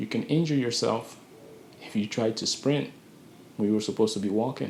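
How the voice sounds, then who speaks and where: With lively intonation, a man speaks at a medium pitch. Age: 20s. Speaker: vlogger giving life advice. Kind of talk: motivational monologue. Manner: slow and calculated; halting.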